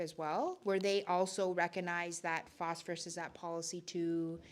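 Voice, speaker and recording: An ordinary speaking voice from a woman, medium in pitch, at a moderate pace. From Northern Ontario, Algoma. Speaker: community organizer. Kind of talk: community meeting Q&A. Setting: in-person public meeting.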